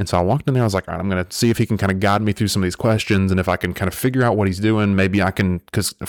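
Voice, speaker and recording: Speaking very fast with hardly any pauses, a man with a Southern US accent holds a fairly low pitch, fairly even intonation and very even loudness, in a very clean, dry, close recording with no echo and a silent background. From US South. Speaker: podcast host. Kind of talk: casual chat. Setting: studio.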